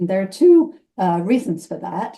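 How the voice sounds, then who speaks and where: A woman's medium-pitched, somewhat breathy voice with a dark, mellow tone and a British accent. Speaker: retired professor. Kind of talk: presentation; self-introduction.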